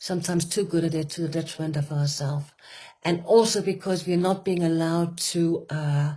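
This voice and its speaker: A woman's dark, mellow voice at a fairly low pitch, with a fairly quick pace and fairly even intonation. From Denmark. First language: Danish. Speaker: retreat facilitator. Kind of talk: conversational talk. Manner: halting, with many fillers.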